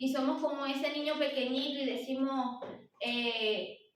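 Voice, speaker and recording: Amid noticeable background noise and audible room echo, a woman with a high pitch speaks at a fairly slow pace with fairly even intonation. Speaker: lay preacher at women's church meeting. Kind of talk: sermon. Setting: church service.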